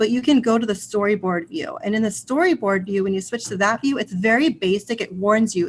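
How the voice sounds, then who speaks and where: Speech comes at a fairly quick clip. There is a somewhat breathy quality to it. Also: woman. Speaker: ed tech trainer for teachers. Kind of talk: tutorial. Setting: online video session with screen share.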